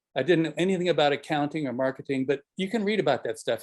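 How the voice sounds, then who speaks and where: This man's voice sits at a fairly high pitch. His pitch varies in an ordinary way. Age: 70s. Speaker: architect. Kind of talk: panel discussion. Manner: casual, with filler words.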